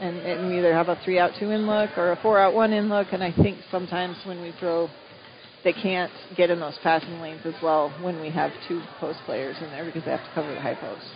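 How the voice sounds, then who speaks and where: A woman talks at a fairly quick pace in a fairly low pitch, with fairly even intonation. Her loudness swings widely, and music plays in the background. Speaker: girls basketball head coach. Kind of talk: post-game interview.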